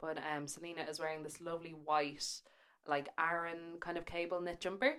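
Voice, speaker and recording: Fairly quick, monotone delivery with flat intonation, in an Irish accent. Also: woman. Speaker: podcast co-host, magazine editor. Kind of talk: casual chat.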